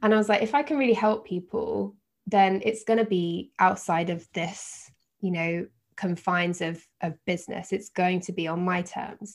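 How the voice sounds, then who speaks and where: A woman talks at a moderate pace in an ordinary speaking voice. Her pitch is medium, with ordinary pitch variation. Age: 30s. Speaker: yoga teacher and life coach. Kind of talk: casual interview chat.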